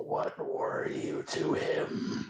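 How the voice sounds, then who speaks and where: A man uses a put-on character voice. It sounds raspy. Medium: actual play. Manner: menacing, unsettlingly gentle.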